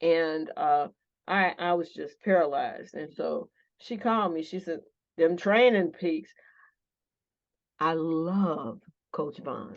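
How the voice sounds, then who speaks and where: A woman speaks with an American accent at a fairly low pitch and ordinary pitch variation. Her pace is very slow, with long, frequent pauses against a quiet background. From northern US. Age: 60s. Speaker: pastor. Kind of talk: interview. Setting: office. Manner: animated.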